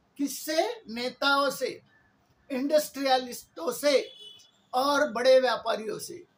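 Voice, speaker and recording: This man's voice sits extremely high in pitch, with ordinary variation. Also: long, frequent pauses, big swings in loudness. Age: 70s. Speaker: political activist. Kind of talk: political monologue. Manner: impassioned.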